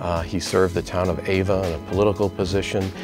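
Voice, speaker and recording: Dry sound with no echo over clear background music. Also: man. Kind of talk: interview answer. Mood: warm, admiring, lightly humorous. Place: office. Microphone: lapel.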